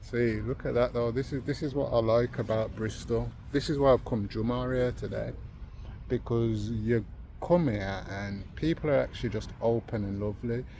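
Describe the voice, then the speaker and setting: A man in a Birmingham accent, medium-pitched and somewhat breathy, dark and mellow in tone, with ordinary pitch variation at a moderate pace. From Birmingham, England. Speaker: vlogger. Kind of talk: casual vlog chat. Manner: animated.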